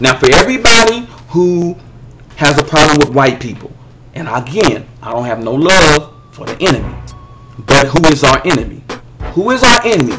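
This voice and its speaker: Amid noticeable background noise, a man in an animated tone makes very wide pitch swings and big swings in loudness at a moderate pace with long, frequent pauses. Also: fairly high pitch for a man. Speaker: religious commentator. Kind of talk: video monologue responding to critics.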